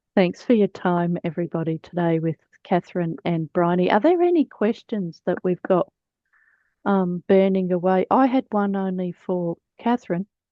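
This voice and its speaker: In an Australian accent, a woman speaks at a moderate pace and medium pitch. Her pitch varies in an ordinary way. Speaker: webinar host, librarian. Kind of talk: webinar Q&A moderation.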